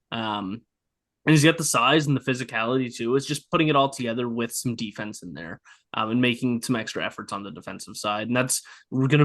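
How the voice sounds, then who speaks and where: At a very fast pace, a medium-pitched man talks with ordinary pitch variation over a quiet background. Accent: Nova Scotian. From Nova Scotia. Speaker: hockey podcast host. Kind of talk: casual chat.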